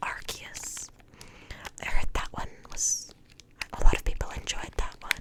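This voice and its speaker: Whispering over noticeable background noise. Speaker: ASMR creator. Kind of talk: ASMR whispering. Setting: home recording, USB microphone. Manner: whispered.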